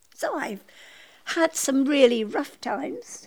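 A woman talks very slowly, her intonation lively. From Scotland. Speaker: interviewee sharing life story. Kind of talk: personal storytelling.

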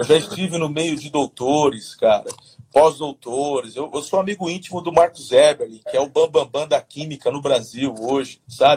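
A man speaks at a moderate pace with a fairly high pitch, ordinary pitch variation and a somewhat breathy quality. His loudness swings widely, and the sound is dry and close with no echo. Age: 40s. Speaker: pastor. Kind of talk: casual interview on leadership. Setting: livestream.

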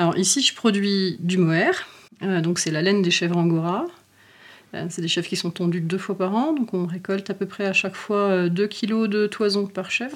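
At a moderate pace, a woman of medium pitch speaks in an ordinary speaking voice with ordinary pitch variation, captured in a very clean recording with a silent background. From rural France. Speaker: farmer. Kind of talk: interview.

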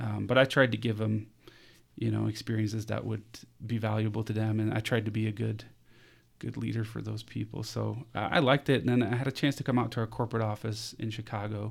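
Talking at a very fast pace, a man with a fairly low pitch delivers flat, monotone intonation marked by vocal fry. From Denmark, near Copenhagen. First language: Danish. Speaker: HR consultant. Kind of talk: casual interview.

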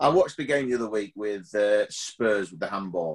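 Recorded dry and close with no echo, a man with an ordinary speaking voice talks at a fairly quick pace, pitched fairly low with ordinary pitch variation. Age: 50s. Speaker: TV presenter and pantomime performer. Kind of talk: casual chat.

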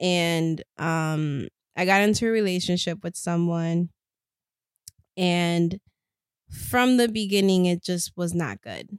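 A woman speaks very slowly at a fairly low pitch, with ordinary pitch variation and long, frequent pauses. The recording is very clean with a silent background and a dry, close sound with no echo. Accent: Spanish. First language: Spanish. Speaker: podcast co-host. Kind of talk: casual chat.

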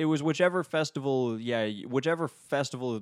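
On a very clean recording with a silent background and a dry, close sound with no echo, a man with an American accent speaks at a moderate pace with ordinary pitch variation. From North Dakota (Minot), US Upper Midwest. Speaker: composer and music theory doctoral student. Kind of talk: casual interview conversation. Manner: animated, laughs often.

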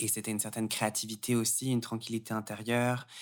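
A man talks at a fairly quick pace and medium pitch in a monotone, flat intonation. The recording is very clean, with a silent background. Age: 20s. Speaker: yoga teacher and gender studies student. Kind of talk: casual interview.

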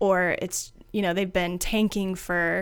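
On a very clean recording with a silent background, a woman speaks at a fairly slow pace with medium pitch and fairly even intonation. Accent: Midwestern American. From US Midwest, rural Ohio (Findlay). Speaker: marketing agency founder. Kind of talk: podcast interview.

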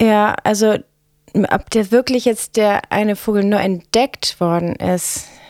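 Very slowly and with very even loudness, a woman of medium pitch speaks with fairly even intonation in a dry, close sound with no echo. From northern Germany, Bremen. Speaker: stage designer. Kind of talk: casual chat.

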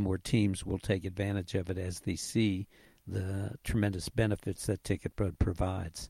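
At a moderate pace, a man speaks with a fairly low pitch and a dark, mellow tone, the sound dry and close with no echo. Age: 80s. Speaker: league CEO and co-founder. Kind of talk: interview answers.

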